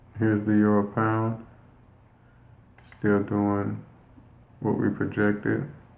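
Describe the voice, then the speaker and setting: Over audible room echo, a man speaks very slowly in a monotone, flat intonation with long, frequent pauses. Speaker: forex trading coach. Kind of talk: live trading session walkthrough. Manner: halting, many fillers.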